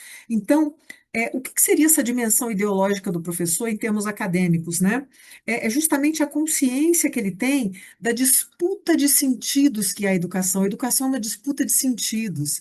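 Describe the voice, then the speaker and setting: A woman's fairly high-pitched voice with very wide pitch swings against a quiet background. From Brazil, Rio de Janeiro. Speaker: teacher and education researcher. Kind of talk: recorded lecture.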